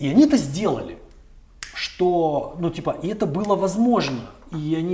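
A man speaks with lively intonation over noticeable background noise and audible room echo. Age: 40s. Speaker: chief editor of a news outlet. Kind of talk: interview.

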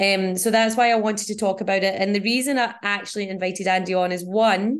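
With a Scottish accent, a woman talks at a medium pitch and a fairly quick pace, her intonation fairly even against a quiet background. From Scotland.

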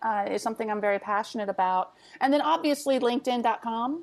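Here is a woman with an ordinary speaking voice, fairly high in pitch and lively in intonation. The background is quiet. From Texas. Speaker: business intelligence consultant. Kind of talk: casual interview chat.

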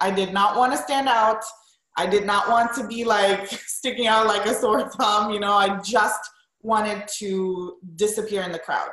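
A woman speaks at a medium pitch, with audible echo from the room. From Romania. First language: Romanian. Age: 30s. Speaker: wedding and portrait photographer. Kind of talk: interview.

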